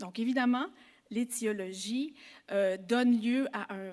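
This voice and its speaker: Her pitch is fairly high. This woman speaks very slowly. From Quebec. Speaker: psychology professor. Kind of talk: conference talk. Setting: symposium with audience. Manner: formal.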